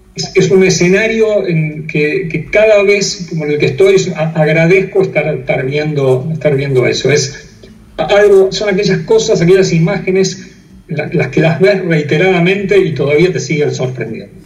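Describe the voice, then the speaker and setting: Over noticeable background noise, a man with a Rioplatense accent speaks in a high pitch with ordinary pitch variation. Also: moderate pace. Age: 60s. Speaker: airline pilot and operations manager. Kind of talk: interview. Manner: halting, frequent fillers.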